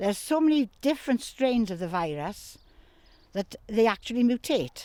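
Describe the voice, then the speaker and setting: A woman with a Welsh accent, a dark, mellow tone and lively intonation, at a moderate pace, in a dry, close sound with no echo. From Wales, Neath. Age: 70s. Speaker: horse owner. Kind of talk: news interview.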